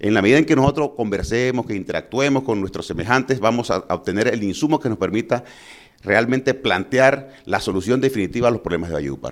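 Delivered at a fairly quick pace, a man's medium-pitched voice shows ordinary pitch variation and is a normal speaking voice. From Colombia, Valledupar (Cesar). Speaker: physician and mayoral candidate. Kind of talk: political interview.

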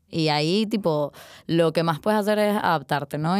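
A woman talks at a fairly quick pace in a very deep, low voice. The recording is very clean, with a silent background. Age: 20s. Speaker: art student. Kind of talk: casual interview conversation.

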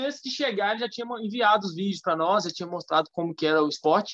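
In a dry, close recording with no echo, a man with a high voice talks with lively intonation. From Minas Gerais, Brazil (Curvelo). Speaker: physical education teacher. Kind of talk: casual interview.

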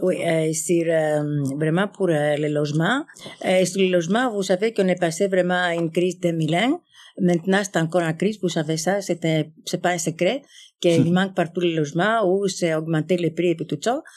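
A woman at a moderate pace and very even loudness, on a very clean recording with a silent background. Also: fairly low pitch for a woman, ordinary pitch variation. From Greece. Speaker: community organization representative. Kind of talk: live panel discussion before audience. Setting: stage with audience. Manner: halting.

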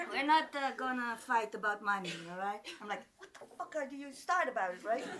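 A high-pitched woman, animated and with lively intonation, over noticeable background noise. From Rimouski, Quebec (Greek immigrant parents). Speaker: storyteller. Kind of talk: live storytelling. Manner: animated, laughing often.

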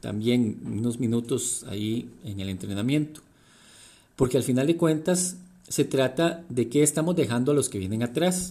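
Dark, mellow male voice with ordinary pitch variation, a moderate pace, and a very clean recording over a silent background. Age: 40s. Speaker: leadership coach and podcaster. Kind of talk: reflective monologue.

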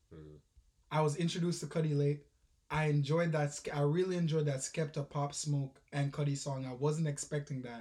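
Here a man talks at a fairly quick pace in a fairly high pitch. His voice is somewhat breathy and his intonation monotone and flat. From Jamaica. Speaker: podcast co-host. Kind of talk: casual chat.

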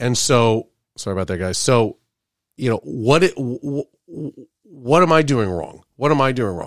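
A man with an unremarkable speaking voice, medium in pitch, talks at a fairly slow pace with lively intonation, in a very clean recording with a silent background and a dry, close sound with no echo. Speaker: co-host. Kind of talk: casual chat. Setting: studio.

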